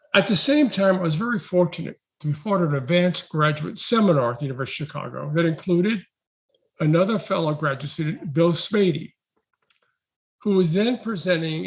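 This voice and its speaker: A high-pitched man with a New York accent, at a moderate pace with ordinary pitch variation. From New York City. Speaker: education researcher. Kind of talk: invited talk.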